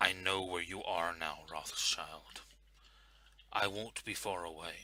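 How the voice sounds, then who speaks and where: A man puts on a raspy character voice with a very deep, low pitch. He delivers it at a fairly slow pace in a monotone, flat intonation. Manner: menacing, threatening.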